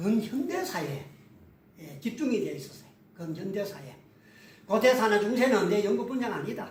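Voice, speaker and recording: Delivered at a moderate pace with long, frequent pauses in a strong Gyeongsang accent, the voice shows very wide pitch swings and big swings in loudness, with audible room echo and noticeable background noise. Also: man. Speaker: history scholar, lecturer. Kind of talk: interview conversation.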